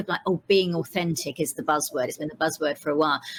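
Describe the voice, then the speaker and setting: With a Cockney accent, a woman talks at a very fast pace. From East End of London, England. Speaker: vegan entrepreneur and storytelling consultant. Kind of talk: podcast interview. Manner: conversational with frequent fillers.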